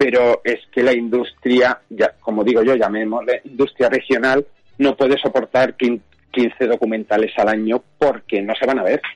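In a dry, close sound with no echo, a man talks at a moderate pace and medium pitch, with very even loudness and monotone, flat intonation. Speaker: film director. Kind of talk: radio interview.

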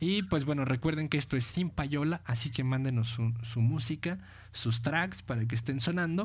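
A man speaks at a moderate pace and medium pitch, somewhat breathy, with lively intonation and very even loudness. The recording is very clean with a silent background. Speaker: internet radio host. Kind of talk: casual radio chat.

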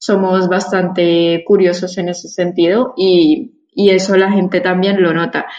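Using a normal speaking voice, a woman speaks fairly slowly at medium pitch with fairly even intonation. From Colombia, Bogotá. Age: 20s. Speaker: immigrant sharing experience. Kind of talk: interview.

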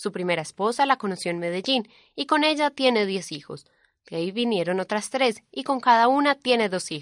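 Very wide pitch swings at a moderate pace, the sound dry and close with no echo over a quiet background. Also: woman. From Colombia, Antioquia. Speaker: reporter. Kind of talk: scripted narration.

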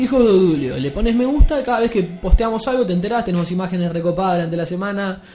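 With music in the background, a man with a Uruguayan accent talks at a very fast pace and a high pitch, with lively intonation and hardly any pauses. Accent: Rioplatense Spanish (Uruguayan). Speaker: podcast host. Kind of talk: casual chat. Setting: studio.

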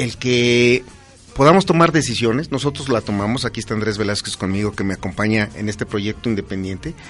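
Over music in the background, a man speaks at a fairly quick pace and medium pitch, with ordinary pitch variation. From Pachuca, Hidalgo, Mexico. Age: 50s. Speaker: politician. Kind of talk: interview.

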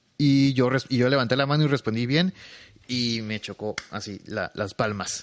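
A man speaks at a fairly slow pace with ordinary pitch variation and a medium pitch. The sound is dry and close, with no echo. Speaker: podcaster and streamer. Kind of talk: casual solo podcast monologue. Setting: home bedroom at night. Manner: quieter and slower than usual.

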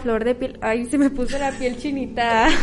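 Audible room echo surrounds a woman speaking at a high pitch with monotone, flat intonation. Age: 20s. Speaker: cosmetologist and spa therapist. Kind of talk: interview testimony. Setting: auditorium with audience. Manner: halting.

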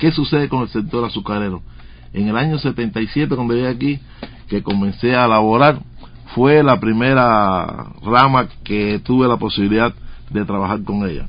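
This man has an unremarkable speaking voice at a medium pitch. He keeps a moderate pace with ordinary pitch variation. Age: 60s. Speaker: radio journalist. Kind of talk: interview.

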